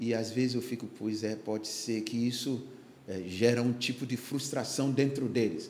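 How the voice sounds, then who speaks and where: A man speaks with fairly even intonation, with audible room echo and noticeable background noise. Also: medium pitch for a man, moderate pace. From Ghana (Accra). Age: 60s. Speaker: pastor. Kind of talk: podcast interview testimony. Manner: halting, many fillers.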